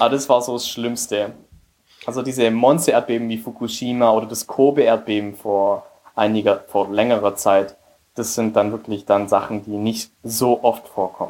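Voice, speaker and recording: At a moderate pace, a man with a medium-pitched voice speaks in a fairly even tone. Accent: Spanish. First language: Spanish (speaking German). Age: 20s. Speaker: emigrant and business graduate. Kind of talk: interview.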